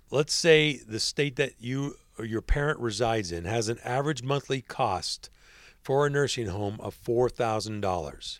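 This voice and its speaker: An unremarkable speaking voice from a man, medium in pitch, at a fairly slow pace with lively intonation. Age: 50s. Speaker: podcast host. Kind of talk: scripted narration.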